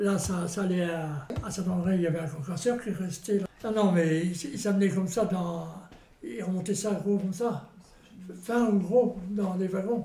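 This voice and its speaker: Audible room echo and noticeable background noise surround a man speaking at a fairly slow pace. His pitch is high, with ordinary variation. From Normandy, France. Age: 80s+. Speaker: retired miner. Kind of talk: interview testimony. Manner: halting.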